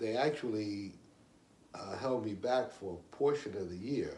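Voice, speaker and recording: Noticeable background noise and audible room echo are both present in this clip. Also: man. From New York, Puerto Rican family. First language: Spanish. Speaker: interviewee. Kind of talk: interview. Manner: halting, many fillers.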